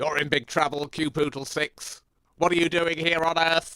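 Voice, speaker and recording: A man uses a cartoonish character voice at a fairly high pitch. His delivery is monotone and flat, at a moderate pace. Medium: puppet. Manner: gruff, scolding.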